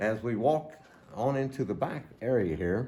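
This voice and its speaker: A man talks fairly slowly at a medium pitch, his tone dark, mellow and somewhat breathy. His intonation is lively, and the room echo is audible. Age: 70s. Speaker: church elder. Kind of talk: guided tour. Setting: indoors, church building.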